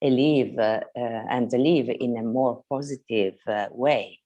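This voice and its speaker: Against a quiet background, a woman with an Italian accent speaks at a very slow pace in a very deep, low pitch, her tone dark and mellow with ordinary pitch variation. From Italy. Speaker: mother asking a question. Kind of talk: asking for advice in a video conversation. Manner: halting, many hesitations.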